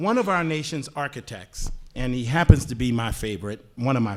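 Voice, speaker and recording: A man's unremarkable speaking voice with an American accent, medium pitch and lively intonation. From US South (Louisiana, Virginia). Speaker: panelist. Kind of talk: panel discussion.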